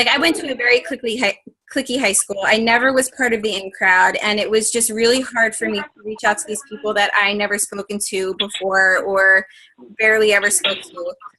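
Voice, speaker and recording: An ordinary speaking voice at a fairly quick pace, with ordinary pitch variation. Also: woman, fairly high pitch for a woman. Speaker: health and fitness coach leading team training. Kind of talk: coaching training call. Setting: conference call, recorded.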